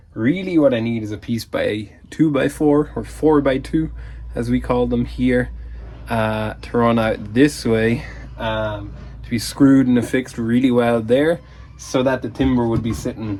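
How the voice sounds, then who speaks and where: This man speaks in an Irish accent. His pace is fairly slow. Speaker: leatherworker and DIY vlogger. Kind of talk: casual vlog. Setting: workshop. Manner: whispering.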